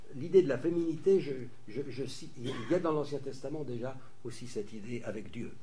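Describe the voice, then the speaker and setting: The speaker talks at a moderate pace with lively intonation. There is audible room echo and noticeable background noise. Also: man. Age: 60s. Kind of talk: lecture. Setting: conference with audience. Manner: halting, many repetitions.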